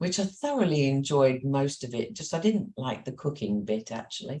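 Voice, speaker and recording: A woman in a Cumbrian accent has a very deep, low pitch, very wide pitch swings, a dark, mellow tone and a moderate pace. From Carlisle, Cumbria, with years in Kent. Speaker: business owner. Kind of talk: interview.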